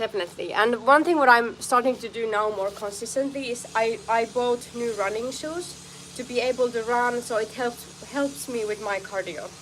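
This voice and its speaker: A woman with a strong non-native accent speaks at a moderate pace and a fairly high pitch, with ordinary pitch variation. Noticeable background noise is present. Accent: foreign accent, strong. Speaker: martial arts fighter and streamer. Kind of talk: live stream training chat. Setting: outdoor home studio. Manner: halting.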